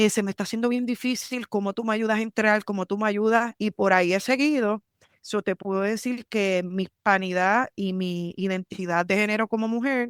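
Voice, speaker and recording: In a dry, close recording with no echo, a woman speaks at a medium pitch and moderate pace with fairly even intonation and hardly any pauses. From Puerto Rico, San Juan. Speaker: military lawyer. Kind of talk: podcast interview.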